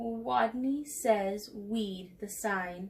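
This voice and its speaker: A woman's squeaky, put-on character voice at a medium pitch. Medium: read story.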